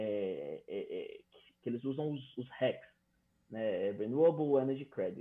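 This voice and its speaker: This man has an unremarkable speaking voice at medium pitch. He talks at a fairly slow pace. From Brazil, Fortaleza. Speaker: electrical engineer. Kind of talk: casual interview.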